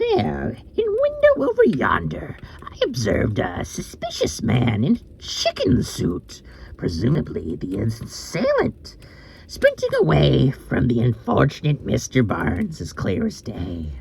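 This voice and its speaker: A man puts on a character voice, speaking at a fairly slow pace with big swings in loudness over light background noise. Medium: read story. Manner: pompous, affected nonchalance.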